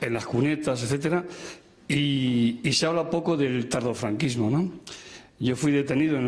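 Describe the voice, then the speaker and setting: Audible room echo around a man's medium voice, moderately paced, with ordinary pitch variation. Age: 70s. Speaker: audience member, former political prisoner. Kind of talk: audience comment at a public talk.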